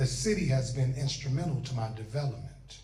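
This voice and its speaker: Dark and mellow in tone, a man's somewhat breathy voice sits at a medium pitch. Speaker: spoken word poet. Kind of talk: spoken word performance. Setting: live event audience. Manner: lively.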